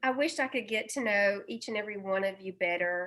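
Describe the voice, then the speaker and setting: This woman speaks at a medium pitch. The recording is very clean, with a silent background. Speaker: group member. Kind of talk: casual chat.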